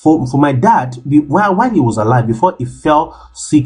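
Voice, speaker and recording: With music in the background, a man talks in a passionate tone with lively intonation. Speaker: health vlogger. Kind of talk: monologue to camera. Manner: halting.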